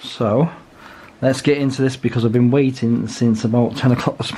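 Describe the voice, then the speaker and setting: At a moderate pace, this speaker talks with a British accent and ordinary pitch variation. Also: man. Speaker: watch reviewer. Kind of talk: casual talk to camera.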